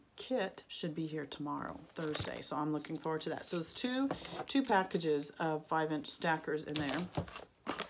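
A woman with a very deep, low pitch talks at a moderate pace over noticeable background noise. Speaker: longarm quilter and quilting vlogger. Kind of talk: casual vlog monologue. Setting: home sewing studio, video. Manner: filler-heavy, casual, friendly. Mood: relaxed, chatty. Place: home room. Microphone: phone near.

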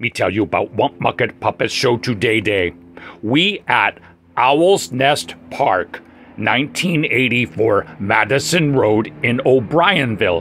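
A man does a cartoonish character voice at medium pitch. He takes it at a fairly slow pace. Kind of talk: puppet show comic character voice. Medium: puppet show. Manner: excited, cheerful, broken caveman grammar.

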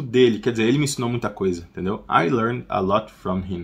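A man is speaking. His voice is somewhat breathy. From Brazil. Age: 30s. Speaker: English teacher. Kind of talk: tutorial. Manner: casual, repeats phrases slowly. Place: home room.

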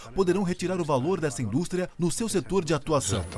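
Faint music sits in the background. Over it, a man speaks fairly quickly. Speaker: voice actor. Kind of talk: corporate narration. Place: studio. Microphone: studio mic. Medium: dub.

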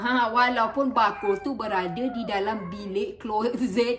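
Over light background noise, a woman speaks very slowly with a high pitch. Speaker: YouTuber. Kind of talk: casual chat. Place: home room. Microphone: phone near.

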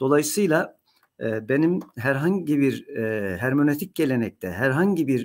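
Over a quiet background, a man speaks very slowly at a fairly high pitch, his pitch swinging very widely. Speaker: professor of Islamic theology; university professor. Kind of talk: lecture. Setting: recorded talk to camera. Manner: frequent hesitation fillers. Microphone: webcam.

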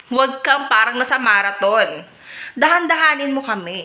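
A raised, projected voice moves at a fairly slow pace with lively intonation. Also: woman. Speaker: vlogger. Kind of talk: scripted casual monologue. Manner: animated.

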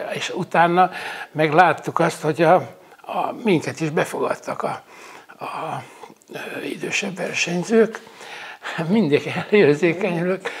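A high-pitched male voice at a very slow pace, with long, frequent pauses and ordinary pitch variation. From Hungary, Lake Balaton area. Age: 70s. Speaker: retired wrestler and coach. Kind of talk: interview. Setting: at the guest's home. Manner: halting. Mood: warm, nostalgic, moved. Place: home room. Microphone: lapel.

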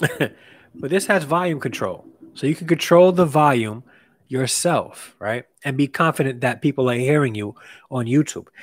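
A man's voice moves at a moderate pace with ordinary pitch variation, and the background is quiet. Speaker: live streamer reviewing gear. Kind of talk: live stream product review chat. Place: home room.

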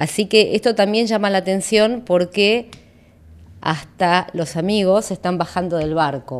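The woman has a fairly low-pitched voice. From Argentina. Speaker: political analyst; invited political analyst. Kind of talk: interview. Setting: studio. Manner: halting, many fillers. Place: studio. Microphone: studio mic.

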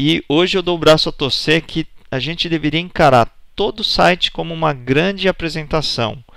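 This is an unremarkable speaking voice. The pace is moderate and the pitch varies in an ordinary way. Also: man, fairly high pitch for a man. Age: 40s. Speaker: presentation skills instructor. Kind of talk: online course lecture.

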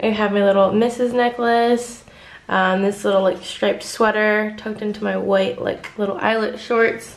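Her delivery, as a woman speaking, keeps a moderate pace. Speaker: travel vlogger. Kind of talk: casual vlog chat. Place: home room.

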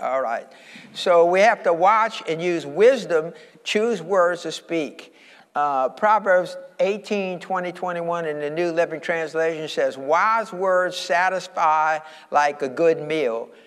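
Speaking very slowly with an American accent, a man with a high pitch shows ordinary pitch variation. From Louisiana, USA. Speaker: pastor. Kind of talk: sermon to congregation. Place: church.

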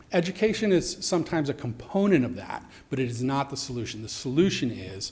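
The voice is somewhat breathy, heard with audible room echo. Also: man. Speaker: youth homeless shelter director. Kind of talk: public testimony at council meeting. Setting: council chambers. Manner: fast.

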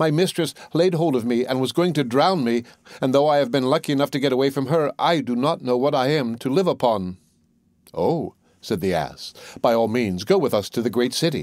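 In a very clean recording with a silent background, a man with an unremarkable speaking voice and a medium pitch talks at a fairly quick pace, his intonation lively and his loudness very even. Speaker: audiobook narrator. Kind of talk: bedtime storytelling, scripted fairy-tale narration read aloud.

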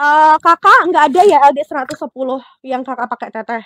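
The recording is dry with no echo, over a quiet background. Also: woman. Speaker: live-selling fashion seller. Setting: online live selling stream. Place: shop. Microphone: lapel.

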